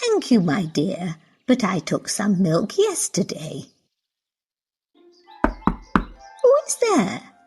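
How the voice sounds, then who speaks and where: A woman's cartoonish character voice at a medium pitch, with a very slow pace and long, frequent pauses. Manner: gentle, polite.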